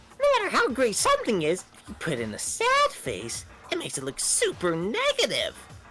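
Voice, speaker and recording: A put-on character voice moves at a fairly quick pace with faint music in the background. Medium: fan dub. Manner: playful, taunting.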